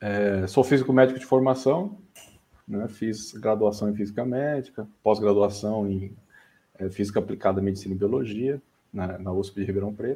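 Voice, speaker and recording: A man's fairly low voice with a dark, mellow tone, ordinary pitch variation and a moderate pace. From Brazil, São Paulo state (São Bernardo do Campo). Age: 30s. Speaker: AI specialist, medical physicist. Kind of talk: casual interview chat.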